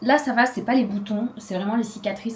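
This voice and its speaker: Fairly even intonation marks this woman's speech, heard with noticeable background noise. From Réunion (Saint-Denis). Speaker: lifestyle vlogger. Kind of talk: casual vlog chat.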